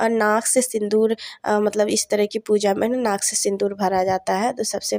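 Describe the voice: At a moderate pace, a woman speaks at a medium pitch with little pitch movement and a slightly mellow tone, the sound dry and close with no echo.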